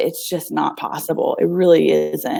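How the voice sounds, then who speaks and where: At a fairly slow pace, a woman with a Southern US accent talks in a dark, mellow tone at a fairly low pitch. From US South. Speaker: nonprofit founder. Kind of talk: casual interview. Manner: halting.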